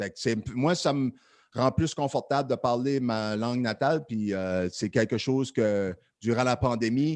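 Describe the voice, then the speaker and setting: A man with an Acadian accent speaks at a medium pitch. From Acadian peninsula, New Brunswick. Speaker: podcast host. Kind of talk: casual chat. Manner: casual, filler-heavy.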